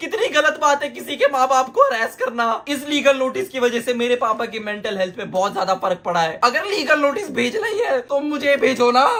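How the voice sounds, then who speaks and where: With lively intonation and an animated tone, a man projects his voice at an extremely high pitch, hardly pausing. His pace is moderate, and noticeable background noise is present. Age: 20s. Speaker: YouTube streamer. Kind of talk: reaction commentary.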